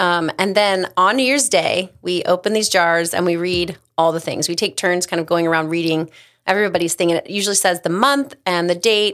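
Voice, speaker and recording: A woman speaks in an unremarkable speaking voice, fairly low in pitch with ordinary pitch variation. She keeps a moderate pace with hardly any pauses. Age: 40s. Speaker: creative brand manager at a financial advisory firm. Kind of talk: casual chat.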